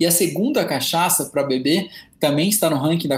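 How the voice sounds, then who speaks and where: A man's pitch varies in an ordinary way as noticeable noise runs in the background. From interior of São Paulo state, Presidente Prudente. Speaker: cachaça specialist and sommelier. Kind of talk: podcast interview.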